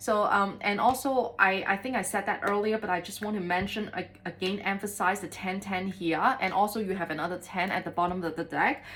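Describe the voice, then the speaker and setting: There is noticeable background noise as a woman talks at a fairly quick pace with hardly any pauses. Her intonation stays fairly even. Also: medium pitch for a woman. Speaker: tarot reader. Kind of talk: tarot reading. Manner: fast; hesitant with many fillers.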